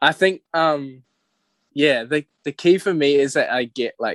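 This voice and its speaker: This man talks in a New Zealand accent against a quiet background. The sound is dry and close, with no echo. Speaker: singer-songwriter. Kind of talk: casual chat.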